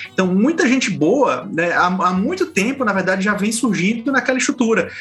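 Music plays in the background as a man speaks at a moderate pace. His intonation is lively. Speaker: journalist, podcast co-host. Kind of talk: casual panel discussion.

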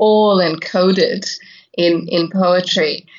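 A woman speaks with an Irish accent. Her voice sits fairly low. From west of Ireland. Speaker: poet. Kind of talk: interview with poetry readings.

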